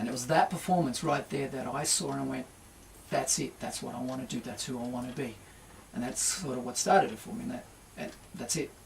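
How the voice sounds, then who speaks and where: Through noticeable background noise, a man talks at a very fast pace with ordinary pitch variation. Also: medium pitch for a man. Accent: Australian. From Australia, Port Kembla NSW. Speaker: singer-songwriter and guitarist. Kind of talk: radio interview. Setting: radio studio.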